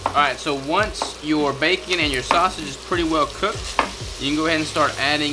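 A man is talking. Noticeable background noise can be heard behind him. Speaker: cooking show host. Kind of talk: tutorial. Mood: relaxed, joking. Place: kitchen.

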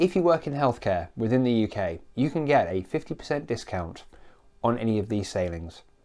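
Over a quiet background, a man speaks with a dark, mellow tone and very wide pitch swings. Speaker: cruise news vlogger. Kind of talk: casual vlog chat. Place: home room. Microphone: lapel.

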